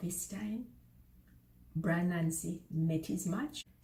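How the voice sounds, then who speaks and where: A woman speaks in a Jamaican accent. She talks at a very slow pace. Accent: Jamaican Creole dialect. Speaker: storyteller. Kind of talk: children's folk story reading.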